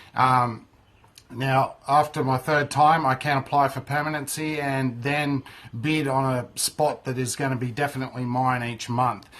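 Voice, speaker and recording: Someone speaks at a moderate pace with an Australian accent. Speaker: microgreens grower and market stallholder. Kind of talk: casual tutorial monologue.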